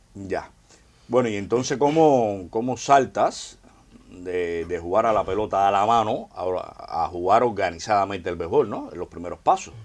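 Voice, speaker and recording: A man's fairly low, slow voice, a plain, everyday voice, with ordinary pitch variation and big swings in loudness. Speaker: sports show host. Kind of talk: interview.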